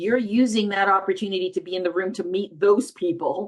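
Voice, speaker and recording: Speaking fairly quickly, a woman uses a medium pitch with ordinary pitch variation. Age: 60s. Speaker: film festival founder. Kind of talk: interview. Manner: animated.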